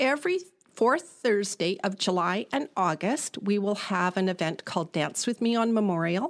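With a Canadian accent, a woman speaks in a normal speaking voice at medium pitch and a moderate pace, her intonation lively and her loudness very even. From British Columbia, Canada (Prince George). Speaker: business association director. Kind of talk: interview.

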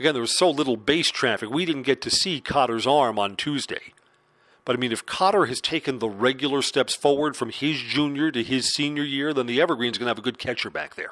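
An unremarkable speaking voice at a fairly quick pace, with ordinary pitch variation, in a very clean recording with a silent background. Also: man, fairly high pitch for a man. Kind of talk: live baseball play-by-play commentary.

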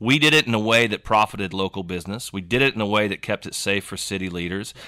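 A man's fairly low, bright and sharp voice with an American accent, ordinary pitch variation and a very fast pace, dry and close with no echo, on a very clean recording with a silent background. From Oklahoma, Yukon. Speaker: music festival founder. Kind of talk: casual chat. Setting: studio.

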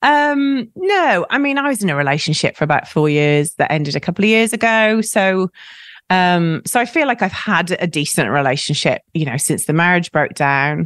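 A woman speaks at a moderate pace with a fairly low pitch and very wide pitch swings. Her loudness stays very even, and the recording is very clean with a silent background. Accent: Welsh. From South Wales. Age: 40s. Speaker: writer and podcaster. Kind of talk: casual chat.

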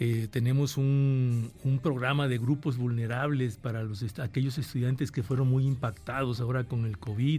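This man has a medium pitch and a dark, mellow tone that is somewhat breathy. He talks at a moderate pace with fairly even intonation and hardly any pauses. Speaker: university rector. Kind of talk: radio interview, formal answers.

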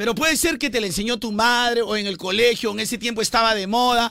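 In a raised, projected voice, a man talks very fast at an extremely high pitch, with a bright, sharp tone and ordinary pitch variation. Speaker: radio morning show host. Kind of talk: casual comedic morning radio chat.

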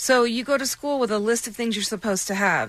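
Speaking in a plain, everyday voice, a woman talks at a fairly quick pace with a fairly high pitch and lively intonation. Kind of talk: casual on-air chat, then charity promo. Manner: chatty, laughing, friendly.

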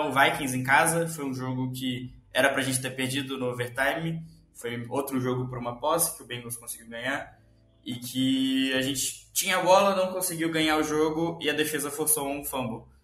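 Music plays in the background as a man with a fairly high pitch speaks at a moderate pace with fairly even intonation, with audible room echo. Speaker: sports podcast co-host. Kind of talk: casual sports chat.

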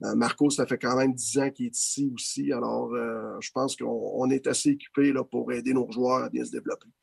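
A man with a Quebec accent at a moderate pace, with hardly any pauses. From Quebec, Laval. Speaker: assistant hockey coach. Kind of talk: interview. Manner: halting.

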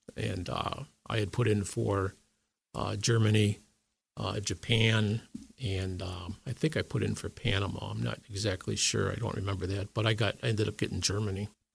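A man speaks at a fairly low pitch with vocal fry and ordinary pitch variation. The recording is very clean, with a silent background. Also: moderate pace. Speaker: army veteran. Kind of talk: interview. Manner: halting.

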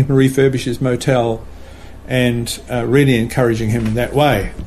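A man speaks at a moderate pace and medium pitch with fairly even intonation. Noticeable background noise can be heard. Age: 60s. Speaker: retired missionary and motel manager. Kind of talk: casual interview, telling life story.

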